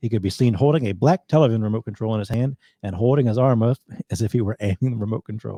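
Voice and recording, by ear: With little sound behind it, this clip has someone reading aloud in a natural voice.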